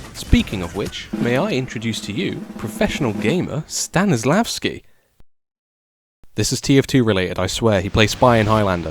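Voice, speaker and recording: A man whispers at a fairly quick pace. His voice is somewhat breathy. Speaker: gaming YouTuber. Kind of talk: scripted commentary. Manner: comedic, playful; whispering at the start.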